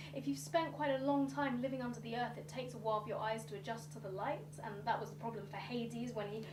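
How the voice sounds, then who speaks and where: A woman speaks over noticeable background noise. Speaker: storyteller. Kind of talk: live storytelling performance. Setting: live stage. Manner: engaging, expressive.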